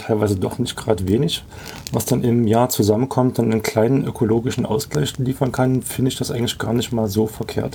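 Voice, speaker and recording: A man speaks at a moderate pace with a medium pitch and ordinary pitch variation. Noticeable background noise sits behind him. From Leipzig area, Saxony. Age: 40s. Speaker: camper. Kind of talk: casual chat.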